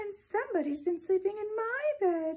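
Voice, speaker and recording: A female-sounding put-on character voice at a moderate pace, pitched extremely high for a woman. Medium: read story.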